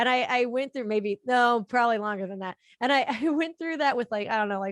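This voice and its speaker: Speaking at a fairly quick pace, a woman has an ordinary speaking voice with a fairly high pitch and ordinary pitch variation. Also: dry, close sound with no echo. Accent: American. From Florida. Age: 30s. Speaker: collector. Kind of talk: casual chat.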